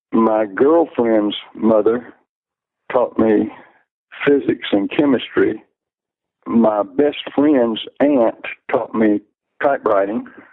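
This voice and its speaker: With an Alabama accent, a man speaks at a very slow pace and very even loudness, leaving long, frequent pauses. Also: medium pitch for a man, ordinary pitch variation. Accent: Southern US (Alabama). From US South, Alabama (Luverne, south of Montgomery). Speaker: retired math and science professional. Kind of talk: interview. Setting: phone call. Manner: halting, with fillers and repetitions.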